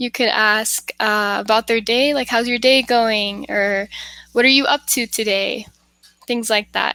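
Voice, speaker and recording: A woman with an American accent, fairly high in pitch, with a bright, sharp tone, fairly even intonation and a fairly slow pace, in a dry, close sound with no echo. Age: 20s. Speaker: English tutor. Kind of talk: casual chat.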